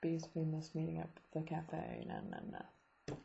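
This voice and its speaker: In a quiet setting with audible room echo, a woman speaks at a moderate pace. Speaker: vlogger, student abroad. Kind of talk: casual video diary. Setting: at home, late night. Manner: hesitant, many ums.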